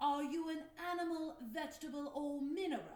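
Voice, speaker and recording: A put-on character voice at a moderate pace, with slight echo. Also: woman, extremely high pitch for a woman. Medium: read story. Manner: commanding, theatrical.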